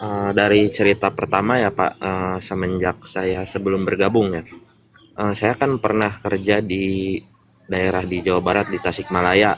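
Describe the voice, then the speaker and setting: Here a man with a West Javanese accent talks at a fairly slow pace, his fairly low pitch kept in a monotone, flat intonation. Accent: noticeable regional (Sundanese). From West Java, Purwakarta. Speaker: business member sharing testimony. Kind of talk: interview testimony. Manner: hesitant, many fillers.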